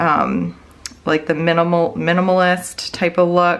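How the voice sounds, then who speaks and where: A woman speaks in an American accent with a fairly low pitch. Her intonation is monotone and flat. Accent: slight Wisconsin accent, pops up occasionally. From Wisconsin. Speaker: budgeting YouTuber and planner seller. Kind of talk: casual tutorial vlog. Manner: chatty, many fillers.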